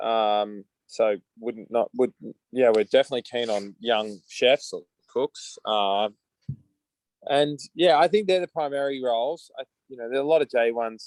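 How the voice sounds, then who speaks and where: A medium-pitched male voice with an Australian accent, lively intonation, and long, frequent pauses, in a dry, close recording with no echo. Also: moderate pace. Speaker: coffee company founder. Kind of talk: video call interview. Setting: video call.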